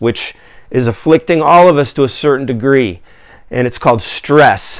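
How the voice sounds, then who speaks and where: Speaking with an American accent, a man uses lively intonation at a medium pitch. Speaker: video blogger and activist. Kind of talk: personal appeal monologue. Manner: slow; halting, many fillers.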